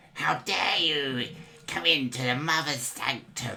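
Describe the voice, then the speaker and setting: In a put-on character voice with a low-to-middle pitch, the speaker goes at a fairly slow pace. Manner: shouting, indignant.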